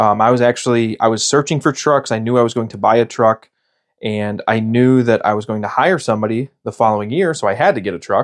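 Speaking at a very fast pace with an American accent, this voice has ordinary pitch variation over a quiet background. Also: man, medium pitch for a man. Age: 30s. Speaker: podcast host, pest control business owner. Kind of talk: casual monologue.

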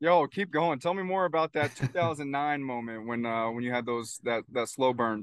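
An ordinary speaking voice moves at a moderate pace with ordinary pitch variation. The background is quiet. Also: man, medium pitch for a man. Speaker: podcast host and men's coach. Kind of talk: casual interview. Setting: remote call.

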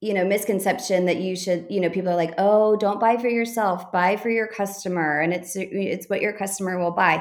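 A woman speaks in a Texan accent with ordinary pitch variation. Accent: Texan American. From Texas. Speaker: boutique owner. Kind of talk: interview.

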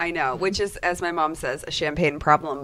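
With an American accent, a woman speaks at a fairly quick pace in a very deep, low voice with fairly even intonation. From Chicago and Boston suburb, US. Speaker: coach and podcast co-host. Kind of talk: casual chat.

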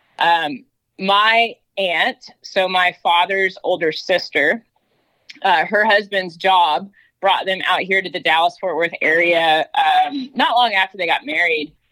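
A bright, sharp female voice with an American accent, medium pitch, ordinary pitch variation and a fairly slow pace. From North Georgia, US South. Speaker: horse trainer. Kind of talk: casual interview.

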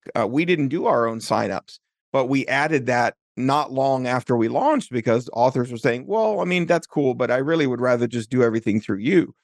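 At a fairly quick pace, a man talks in an ordinary speaking voice with medium pitch and ordinary pitch variation, the sound dry and close with no echo over a quiet background. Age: 40s. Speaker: software developer and author tools founder. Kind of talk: interview.

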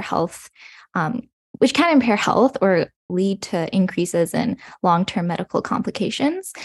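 In a Western Canadian accent, a woman with a medium pitch speaks at a fairly slow pace, the sound dry and close with no echo. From British Columbia, Canada (Burnaby, Coquitlam). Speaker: medical student. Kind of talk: casual interview.

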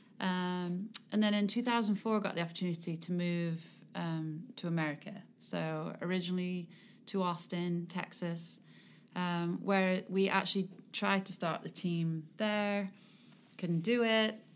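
Pausing long and often, a woman speaks at a fairly slow pace with medium pitch and fairly even intonation. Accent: English. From England. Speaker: sports club executive and charity foundation president. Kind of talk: interview.

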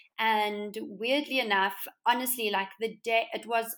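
A woman speaks with a South African accent and fairly even intonation, recorded very cleanly over a silent background. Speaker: interior designer and entrepreneur. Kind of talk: casual interview chat.

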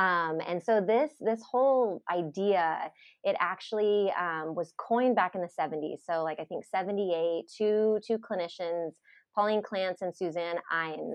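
Someone talks at a fairly slow pace in a normal speaking voice. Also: woman, medium pitch for a woman, ordinary pitch variation. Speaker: psychologist. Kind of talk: casual interview chat.

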